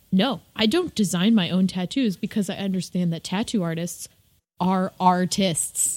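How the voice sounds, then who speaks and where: A woman with a medium-pitched, somewhat breathy voice speaks at a moderate pace. Her pitch varies in an ordinary way. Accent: American. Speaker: podcast co-host and visual artist. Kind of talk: casual chat.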